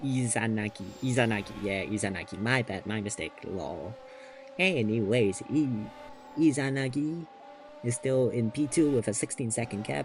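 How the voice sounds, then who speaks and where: Lively intonation amid noticeable background noise. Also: man, medium pitch for a man, moderate pace. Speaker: sim racing commentator. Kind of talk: live commentary. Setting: at home. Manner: kept quiet, soft-spoken; animated.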